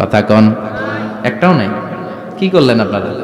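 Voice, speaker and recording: An animated tone with very wide pitch swings over noticeable background noise. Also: man. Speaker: Islamic preacher. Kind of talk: Islamic sermon (waz) to a live audience. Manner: animated, rhetorical, audience-engaging.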